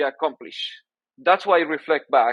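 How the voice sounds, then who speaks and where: A man at a fairly quick pace, in dry, close sound with no echo. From Peru. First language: Spanish. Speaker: orthodontics professor. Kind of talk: interview. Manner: halting, many repeated words.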